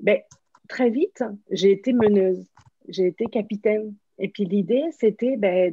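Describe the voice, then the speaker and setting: The speech moves at a fairly slow pace with long, frequent pauses. It sounds somewhat breathy, with ordinary pitch variation. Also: woman, medium pitch for a woman. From France. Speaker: workshop facilitator, former athlete. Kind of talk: interview. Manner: hesitant, many fillers.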